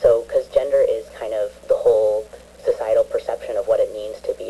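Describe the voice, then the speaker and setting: A man speaks at a fairly quick pace in an extremely high pitch. His intonation is monotone and flat, with noticeable background noise behind him. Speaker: transgender community member. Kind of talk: radio phone-in discussion. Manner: hesitant, many fillers.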